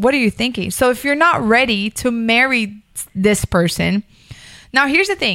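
A woman with an American accent and a normal speaking voice talks at a moderate pace, her fairly high pitch moving with lively intonation in a dry, close sound with no echo. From Miami, Florida. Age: 30s. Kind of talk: casual chat.

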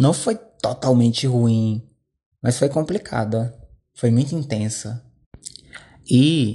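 This man's voice sits at a medium pitch, with a dark, mellow tone, some breathiness, and ordinary pitch variation. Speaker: podcaster. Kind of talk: personal monologue. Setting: at home.

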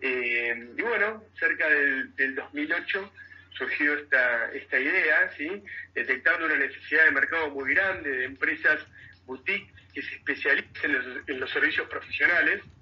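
Against noticeable background noise, the talking moves at a fairly slow pace. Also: man. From Argentina, Mar del Plata. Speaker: tech company CEO. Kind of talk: radio interview. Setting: radio. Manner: halting, frequent repetitions and fillers.

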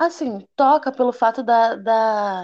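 A woman talks very slowly, with ordinary pitch variation. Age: 20s. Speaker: hairdresser. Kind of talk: interview.

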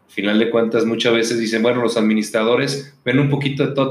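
A man talks at a very fast pace and a medium pitch. His intonation stays monotone and flat. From Mexico, Guadalajara, Jalisco. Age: 40s. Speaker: business chamber president. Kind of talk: interview. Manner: hesitant, with fillers.

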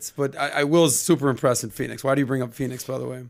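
A man talks at a fairly quick pace with a medium pitch and ordinary pitch variation. It is an ordinary speaking voice. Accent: American. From Miami, Florida. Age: 40s. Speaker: podcast host. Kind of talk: casual chat. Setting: studio.

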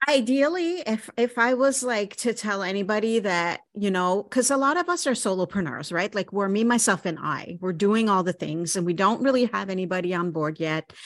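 With a plain, everyday voice, a woman talks at a moderate pace with hardly any pauses, lively intonation and a medium pitch. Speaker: podcast host. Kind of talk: interview conversation. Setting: video call.

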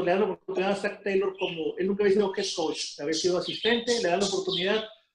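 Here a man speaks at a high pitch. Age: 40s. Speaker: football fan guest. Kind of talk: casual sports chat.

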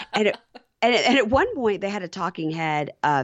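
A Southern US accent colors the speech. The speaker is a woman. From Mississippi, US South. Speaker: podcaster, reality TV recapper. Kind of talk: casual chat.

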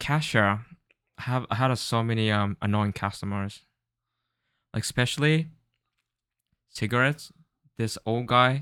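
In a Japanese accent, a man speaks at a moderate pace and a medium pitch with ordinary pitch variation, a bright, sharp tone and long, frequent pauses, on a very clean recording with a silent background. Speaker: podcast co-host. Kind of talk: casual chat.

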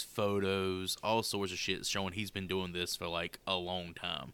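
Very deep and low in pitch, this man speaks at a moderate pace in an animated, bright, sharp tone. The recording is very clean, with a silent background. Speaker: podcast host. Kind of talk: casual banter podcast. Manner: joking, profane, animated.

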